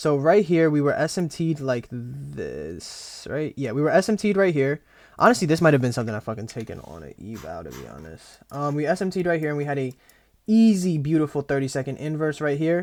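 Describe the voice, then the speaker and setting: Talking at a fairly quick pace, a man uses lively intonation and a fairly high pitch, his loudness swinging widely. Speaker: day trader. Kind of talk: trading journal recap, screen walkthrough. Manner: fast; casual, swearing.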